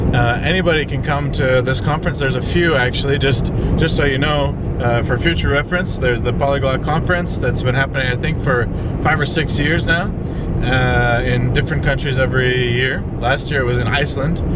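Amid loud background noise, a man talks at a fairly quick pace, the sound dry with no echo. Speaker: travel vlogger and language learner. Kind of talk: casual travel vlog. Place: car.

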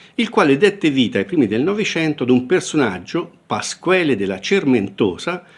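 Hardly any pauses break up this man's speech. His fairly high voice has vocal fry and very wide pitch swings. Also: moderate pace. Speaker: professor. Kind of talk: literary lecture. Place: home room. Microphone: webcam.

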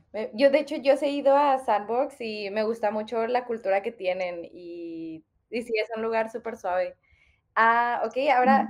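Here is a woman with a normal speaking voice and a fairly high pitch. She talks at a moderate pace with lively intonation. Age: 20s. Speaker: podcast host. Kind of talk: interview conversation.

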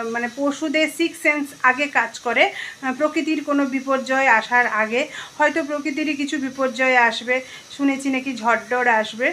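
Over light background noise, a woman speaks in a raised, projected voice with fairly even intonation. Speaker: home vlogger. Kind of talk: casual vlog chat. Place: home room. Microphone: phone near.

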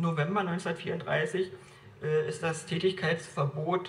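In a room with audible echo, a man with a high pitch speaks at a very slow pace in a monotone, flat intonation. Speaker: evangelist and church speaker. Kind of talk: lecture. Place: church. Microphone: camera far.

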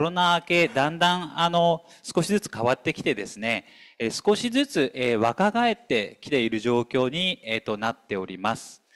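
The voice swings very widely in pitch and moves at a fairly slow pace. The sound is dry and close, with no echo. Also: man. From Tokyo, Nippori area. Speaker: pattern maker company owner, committee vice chair. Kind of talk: presentation at a briefing session. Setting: hall with live and online audience.

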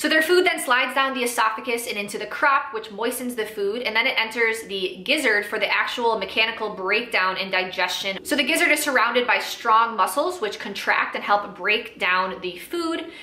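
Audible room echo surrounds a woman speaking. She keeps a moderate pace with hardly any pauses. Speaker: small farm educator. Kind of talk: educational explainer to camera. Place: home room.

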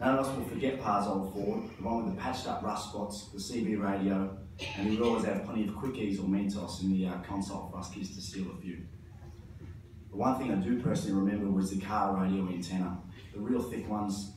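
A man's fairly low voice at a fairly quick pace, with fairly even intonation, light background noise and audible room echo. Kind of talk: eulogy speech. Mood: fond, lightly humorous, emotional. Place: church.

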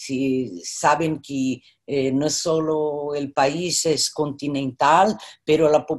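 A woman speaks with a Brazilian accent. The background is quiet. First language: Portuguese (speaking Spanish). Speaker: artist and professor; professor. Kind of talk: virtual panel conversation. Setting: video call. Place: home room. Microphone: video call.

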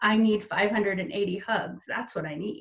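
Putting on a character voice, a woman speaks at a fairly slow pace and medium pitch, her voice shaky. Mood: warm, lighthearted.

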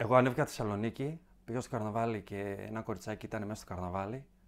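Using a plain, everyday voice, a man talks at a fairly quick pace and medium pitch with fairly even intonation. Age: young. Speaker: comedy content creator. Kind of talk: casual chat.

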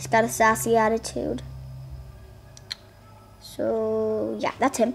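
This woman speaks at a slow pace with a fairly high pitch. Her intonation is monotone and flat, with vocal fry.

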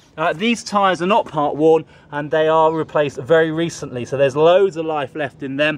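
The sound is dry with no echo, and the pitch varies in an ordinary way. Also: man. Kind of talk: sales walkaround commentary. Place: street. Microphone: phone near.

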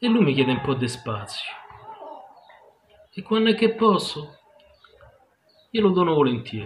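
A man's fairly high voice with very wide pitch swings over light background noise. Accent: Roman. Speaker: poet. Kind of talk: poetry reading. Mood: wistful, introspective. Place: home room. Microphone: phone near.

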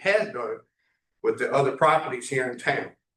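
The speaker is a man whose pitch sits fairly high. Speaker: property owner addressing council. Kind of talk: public comment at council meeting. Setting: town council meeting room. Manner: loud.

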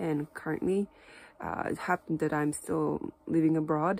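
A woman speaks fairly slowly at a fairly low pitch, with a Japanese accent. Her intonation is fairly even, and the sound is dry with no echo. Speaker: Japanese teacher. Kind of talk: casual talk to camera. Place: home room. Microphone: phone near.

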